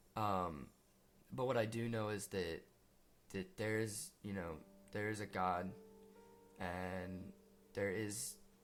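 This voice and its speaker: Over music in the background, a man with a fairly low pitch speaks very slowly, with long, frequent pauses. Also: ordinary pitch variation. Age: young. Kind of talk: personal testimony talk to camera. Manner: hesitant, earnest.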